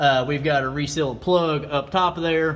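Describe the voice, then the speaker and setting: Room echo is audible, and background noise is noticeable. The voice is a man's. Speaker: diesel truck YouTuber. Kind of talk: casual vlog tutorial. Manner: fast; casual, filler-heavy.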